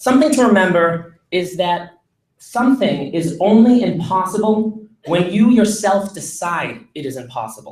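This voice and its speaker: A man with a Boston accent speaks at a high pitch. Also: lively intonation, moderate pace. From Massachusetts, near Boston. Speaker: student intern speaker. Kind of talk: commencement speech.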